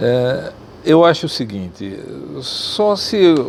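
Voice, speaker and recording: A man speaks over noticeable background noise. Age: 70s. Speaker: ophthalmologist. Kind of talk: interview.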